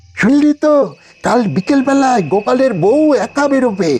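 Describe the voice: Using a cartoonish character voice, a man speaks at an extremely high pitch and a moderate pace with lively intonation.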